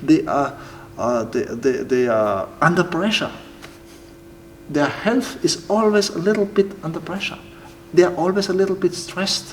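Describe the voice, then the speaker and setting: The speaker moves at a moderate pace, with long, frequent pauses. Noticeable background noise sits behind the voice. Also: man, high pitch for a man. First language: German. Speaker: timber building entrepreneur. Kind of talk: interview. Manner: halting, with many repetitions and fillers.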